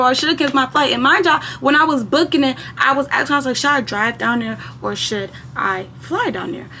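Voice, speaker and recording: A woman speaks high and fairly quickly in a raised, projected voice with lively intonation. Noticeable background noise is present. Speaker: storytime youtuber. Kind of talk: casual storytime monologue. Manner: animated.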